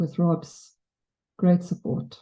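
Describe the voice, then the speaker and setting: A woman's somewhat breathy, medium-pitched voice, in a South African accent at a moderate pace. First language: Afrikaans. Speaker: memorial speaker. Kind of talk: eulogy. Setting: memorial service with audience. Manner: wobbling voice.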